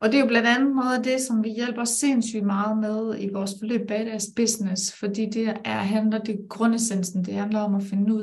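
A woman with a fairly high pitch speaks in a monotone, flat intonation over noticeable background noise. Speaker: life coach and business mentor. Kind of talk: live-streamed conversation.

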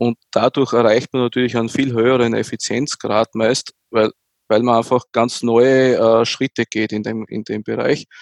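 Delivered at a moderate pace, the speech is monotone and flat in intonation, with a dry, close sound and no echo. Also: man, medium pitch for a man. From Austria, near Graz. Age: 40s. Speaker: tech executive. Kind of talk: interview.

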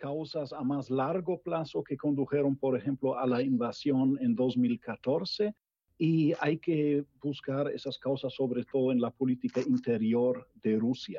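A man with a German accent speaks at a very slow pace. His pitch is fairly high, with ordinary variation. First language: German (speaking Spanish). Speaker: political scientist. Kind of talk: panel discussion. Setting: video call. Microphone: bad connection.

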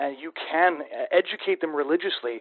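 A man has a plain, everyday voice at a fairly high pitch. His intonation is lively. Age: 20s. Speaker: podcast host. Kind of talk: interview.

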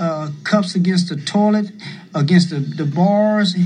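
Very slowly, a man speaks at a high pitch. His intonation stays fairly even. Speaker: former prisoner and advocate. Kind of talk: oral history testimony. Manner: halting.

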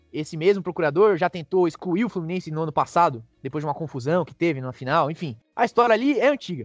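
Music plays behind a high-pitched man whose intonation is lively. He talks at a very fast pace with hardly any pauses, in a dry, close sound with no echo. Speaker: sports podcast co-host. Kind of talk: casual chat.

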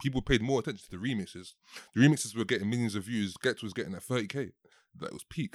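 In a London accent, a man speaks at a very fast pace on a very clean recording with a silent background. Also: medium pitch for a man, ordinary pitch variation. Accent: London multicultural English. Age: 20s. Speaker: podcast host. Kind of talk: casual chat.

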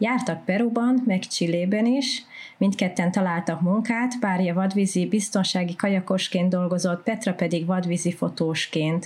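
A woman's somewhat breathy voice at a medium pitch, fairly slow, with hardly any pauses, very even loudness and ordinary pitch variation. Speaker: podcast co-host. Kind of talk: scripted narration.

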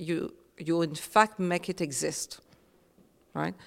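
A woman speaks with a French accent and vocal fry. Her pitch sits fairly low. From Réunion. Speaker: author. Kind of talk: panel talk.

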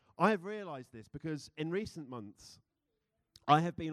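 Talking at a fairly quick pace, a man speaks in a British accent. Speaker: church speaker. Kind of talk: sermon. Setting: church with congregation. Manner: informal, humorous.

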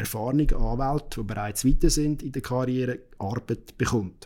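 At a moderate pace, this man talks in a medium pitch. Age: 30s. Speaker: lawyer. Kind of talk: interview.

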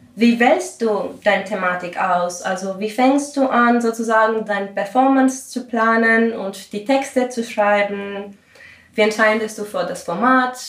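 A woman's fairly high voice at a fairly slow pace, with ordinary pitch variation and audible room echo. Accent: Greek. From Greece. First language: Greek (speaking German). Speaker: composer and podcast host. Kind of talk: interview.

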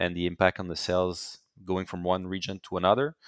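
A man's very deep, low pitch with a French Canadian accent, at a moderate pace, in a dry, close sound with no echo and a very clean recording against a silent background. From Quebec, Canada. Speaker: company CEO. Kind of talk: interview.

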